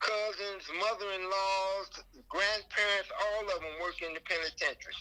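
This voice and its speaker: A man with a high pitch uses a raised, projected voice with monotone, flat intonation. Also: moderate pace. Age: 70s. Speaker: former inmate. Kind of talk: interview. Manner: halting.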